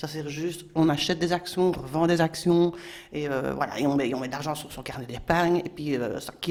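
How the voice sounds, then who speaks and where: Fairly even in intonation but with big swings in loudness, the voice moves at a fairly quick pace amid noticeable background noise. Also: woman. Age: 60s. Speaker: local currency activist. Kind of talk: prepared presentation.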